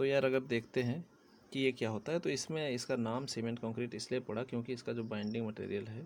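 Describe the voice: A man speaks at a moderate pace and medium pitch with vocal fry, little pitch movement and a slightly mellow tone.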